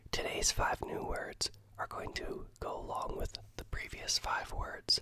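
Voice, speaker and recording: A man is whispering. He goes at a very slow pace. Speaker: ASMR creator learning Italian. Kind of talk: ASMR language-learning vocabulary lesson. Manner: soft-spoken, whispered.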